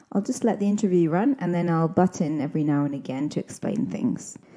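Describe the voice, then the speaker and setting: Her voice is fairly low in pitch for a woman, with a dark, mellow tone. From southeast Scotland. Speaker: podcast host and English teacher. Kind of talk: scripted podcast narration and language explanation.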